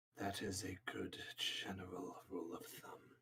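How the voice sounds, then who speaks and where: A man does a put-on character voice with a very deep, low pitch. He keeps a moderate pace. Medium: actual play. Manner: calm, measured.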